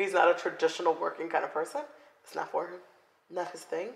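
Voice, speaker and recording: This is a woman speaking. She has a South Florida accent. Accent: South Florida American. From South Florida (Broward County). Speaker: podcast co-host. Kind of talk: casual chat.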